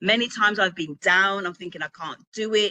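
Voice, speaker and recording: A woman with a British accent speaks at a medium pitch in a bright, sharp and animated tone. The sound is dry and close, with no echo. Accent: UK. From Birmingham, England. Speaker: author and publishing coach. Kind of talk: motivational talk. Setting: virtual event with live chat.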